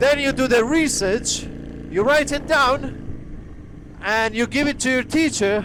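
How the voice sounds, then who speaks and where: Noticeable background noise surrounds a man with a Polish accent and an extremely high voice. He talks fairly slowly, with ordinary pitch variation. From Poland. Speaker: motorcycle vlogger. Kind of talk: casual vlog monologue. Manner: halting.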